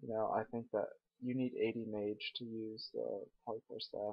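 The voice is quiet and moves at a moderate pace. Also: man. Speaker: gaming commentator. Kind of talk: gameplay commentary. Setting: at home late at night. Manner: hesitant, many fillers.

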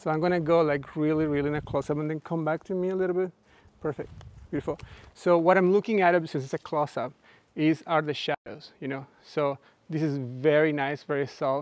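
A man talks at a fairly quick pace with fairly even intonation. The sound is dry with no echo. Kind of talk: live workshop explanation and directing a model. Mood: relaxed, playful. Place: garden.

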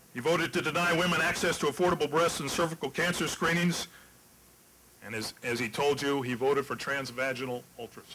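Spoken at a very fast pace with ordinary pitch variation, the voice comes over light background noise. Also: man. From West Virginia. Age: old. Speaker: political candidate; candidate. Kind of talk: debate. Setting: stage with audience. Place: hall. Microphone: podium.

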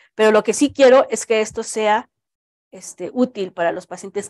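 A woman at a moderate pace with ordinary pitch variation, in a dry sound with no echo and a quiet background. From Mexico. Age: 40s. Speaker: cancer researcher. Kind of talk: Q&A answers; lecture. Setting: auditorium with live audience. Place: hall.

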